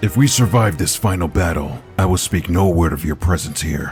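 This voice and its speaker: Over clear background music, a man uses a put-on character voice with a very deep, low pitch at a moderate pace. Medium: fan dub. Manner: solemn.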